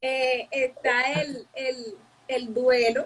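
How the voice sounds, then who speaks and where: High-pitched female speech amid clearly audible background noise. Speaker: psychologist. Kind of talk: interview. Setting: live stream.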